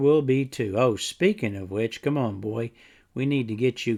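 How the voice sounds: With ordinary pitch variation, the reading comes in a natural reading voice.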